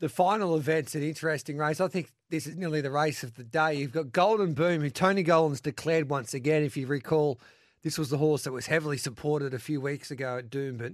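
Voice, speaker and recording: A man with a fairly high pitch talks at a very fast pace with ordinary pitch variation against a quiet background. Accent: Australian. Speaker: radio host. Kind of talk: live radio racing show. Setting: radio studio. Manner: energetic, chatty.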